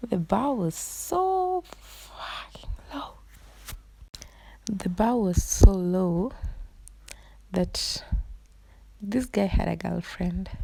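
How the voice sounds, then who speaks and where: Quiet and very slow, a woman speaks with long, frequent pauses and big swings in loudness. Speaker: beauty vlogger. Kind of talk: storytime voiceover over makeup tutorial. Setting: recorded at night. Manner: low, quiet voice; casual, conversational.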